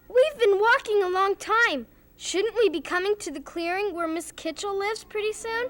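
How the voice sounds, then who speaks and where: A put-on character voice at an extremely high pitch speaks at a moderate pace over music in the background. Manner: calm, reassuring.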